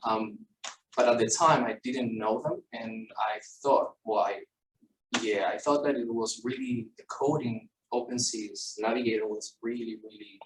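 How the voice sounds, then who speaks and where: A man speaks with a Spanish accent. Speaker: structural engineer. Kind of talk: technical presentation. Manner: halting.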